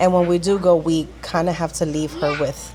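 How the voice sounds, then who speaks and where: In a room with audible echo and noticeable background noise, a woman with a very deep, low pitch talks fairly quickly. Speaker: lifestyle vlogger. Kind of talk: casual vlog talk. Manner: chatty.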